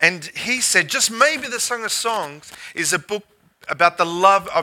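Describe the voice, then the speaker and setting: A man speaks in a bright, sharp tone at a fairly slow pace. His intonation is lively. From Australia. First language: English (speaking French). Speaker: guest pastor. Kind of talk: sermon.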